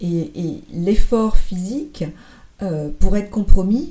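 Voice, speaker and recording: A woman of medium pitch speaks with ordinary pitch variation in a somewhat breathy voice with a dark, mellow tone. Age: 50s. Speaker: former business executive, marathon runner. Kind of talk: interview testimony. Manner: halting.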